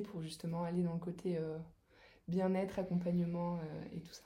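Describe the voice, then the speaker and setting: At a moderate pace, a woman with a fairly low pitch speaks in a somewhat breathy, dark, mellow tone with flat, monotone intonation and audible room echo. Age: 30s. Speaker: massage therapist. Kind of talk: casual interview.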